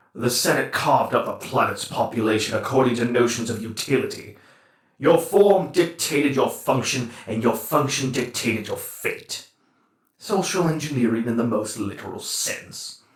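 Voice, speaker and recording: A man's put-on character voice at medium pitch, moderate pace and slight echo. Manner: scornful, grandiose.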